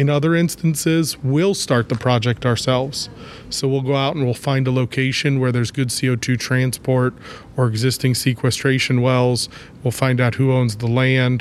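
Heard over noticeable background noise, a man with an American accent and medium pitch speaks at a moderate pace with fairly even intonation and very even loudness. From Ohio, US Midwest. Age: 30s. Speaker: clean energy company executive, chemist. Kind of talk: interview.

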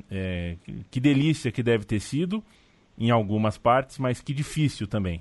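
With lively intonation and a plain, everyday voice, a man speaks at a fairly slow pace and medium pitch. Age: 30s. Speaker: sports podcast host. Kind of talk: casual chat.

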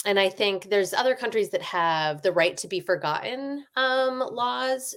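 A woman talks at a fairly slow pace, her pitch swinging very widely. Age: 40s. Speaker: author. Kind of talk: casual interview chat.

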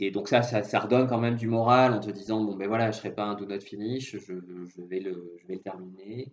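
Delivered at a fairly quick pace, an ordinary speaking voice keeps its intonation fairly even. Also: man, fairly low pitch for a man. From southwest France. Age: 30s. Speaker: industrial risk engineer and amateur triathlete. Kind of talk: interview. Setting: phone call.

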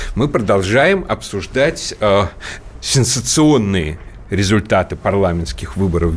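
A man with lively intonation is heard amid noticeable background noise. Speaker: political commentator and radio host. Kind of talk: radio talk show discussion. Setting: radio studio. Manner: fluent, talkative, opinionated.

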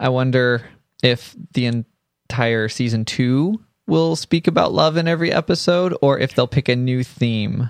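This is an ordinary speaking voice at a fairly slow pace. The loudness stays very even. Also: man, medium pitch for a man. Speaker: podcast co-host. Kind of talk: casual chat.

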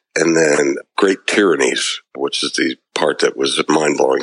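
A man speaks in a dry, close sound with no echo at all. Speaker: podcast co-host. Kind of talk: casual chat.

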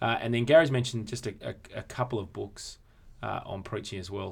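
With an Australian accent, a man speaks at a moderate pace in a fairly low pitch, showing ordinary pitch variation and vocal fry. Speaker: podcast host and church consultant. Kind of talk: casual conversational podcast discussion.

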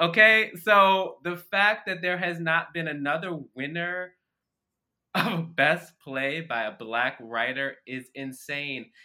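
Speaking at a very slow pace, a man with an American accent uses a high pitch and lively intonation. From US Mid-Atlantic, Baltimore. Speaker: stage actor. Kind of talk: interview conversation.

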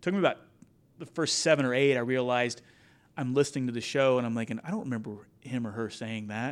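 This man talks very fast with an American accent, at a medium pitch and fairly even intonation. The recording is very clean, with a silent background. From Kansas, Wichita. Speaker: commercial pilot, Marine veteran and business podcaster. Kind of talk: interview conversation.

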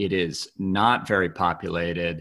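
A man with an American accent is heard on a very clean recording, with a silent background. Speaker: podcast host. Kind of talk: interview.

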